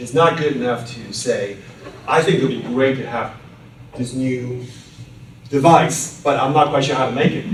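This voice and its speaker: Noticeable background noise and audible room echo surround a man talking at medium pitch with ordinary pitch variation. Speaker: patent attorney. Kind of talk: lecture. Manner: fast.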